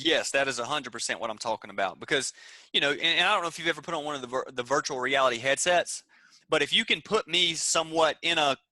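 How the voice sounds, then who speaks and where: A man with a Southern US accent at a very fast pace, bright and sharp in tone, with ordinary pitch variation, a dry, close sound with no echo and a quiet background. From US South, Georgia. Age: 20s. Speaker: entrepreneur. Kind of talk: interview. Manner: animated.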